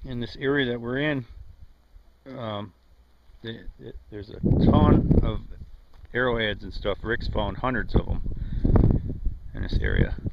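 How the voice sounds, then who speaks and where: Over loud background noise, a man speaks at a fairly slow pace with long, frequent pauses. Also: dry sound with no echo. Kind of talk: casual vlog chat. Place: open country. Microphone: phone near.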